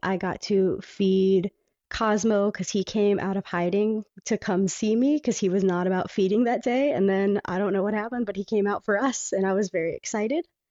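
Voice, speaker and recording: A woman speaks in a normal speaking voice at medium pitch and a moderate pace, with ordinary pitch variation. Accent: American. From Panama City, Florida, with five childhood years in England. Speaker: stage performer and singer. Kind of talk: casual interview. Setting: home bedroom, remote call.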